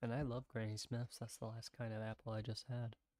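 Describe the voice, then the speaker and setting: Soft-spoken, a man talks at a medium pitch with an American accent. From US South, South Carolina. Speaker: streamer. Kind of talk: casual chat. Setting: livestream at home. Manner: halting.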